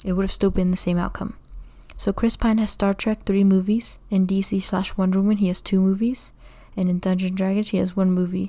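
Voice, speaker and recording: Speaking at a fairly quick pace, a woman has a dark, mellow, somewhat breathy tone and monotone, flat intonation. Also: medium pitch for a woman, very clean recording, silent background. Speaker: YouTuber ranking actors. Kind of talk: casual commentary video. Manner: halting, self-correcting.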